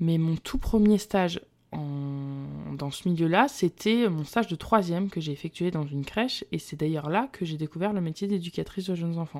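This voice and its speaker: A woman with a normal speaking voice talks at a moderate pace in a fairly low pitch with lively intonation, in a very clean recording with a silent background. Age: 20s. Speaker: early childhood educator and podcast host. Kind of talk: solo podcast monologue.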